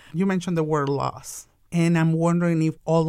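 In a very clean recording with a silent background, a woman speaks in a Mexican accent. Her pitch is very deep and low, and her intonation is flat and monotone. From Mexico. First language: Spanish. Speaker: immigrant business owner. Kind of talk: podcast interview.

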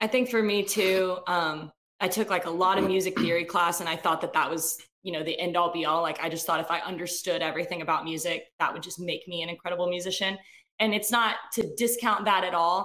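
A woman's plain, everyday voice with an American accent, fairly low in pitch, fairly even in intonation, at a fairly quick pace. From Athens, Georgia, US South. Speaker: musician. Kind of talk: interview.

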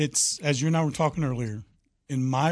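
A man with an American accent talks at a very fast pace in a fairly high, somewhat breathy voice. The background is quiet. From Oklahoma. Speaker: roofing contractor. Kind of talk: radio interview.

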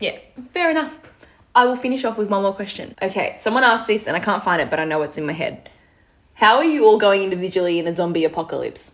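A woman with an Australian accent speaks very fast in a medium pitch, her tone animated. Her pitch swings very widely. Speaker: podcast co-host, netball player. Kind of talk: casual chat.

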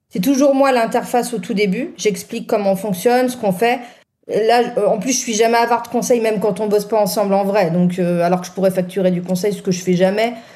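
Amid audible room echo, a woman talks at a fairly quick pace, her fairly high voice carrying a dark, mellow tone. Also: ordinary pitch variation. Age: 40s. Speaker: music press officer. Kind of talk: casual panel discussion.

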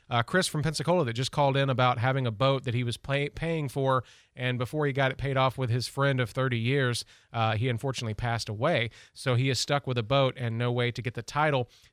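Talking at a very fast pace, a man holds a medium pitch with fairly even intonation. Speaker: radio host. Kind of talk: call-in radio show chat. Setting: radio studio.

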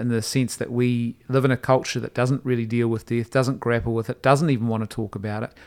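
Speaking at a very fast pace with hardly any pauses, a man with a New Zealand accent keeps a medium pitch and fairly even intonation. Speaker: podcast host. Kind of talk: casual discussion; donation appeal. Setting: studio in Wellington.

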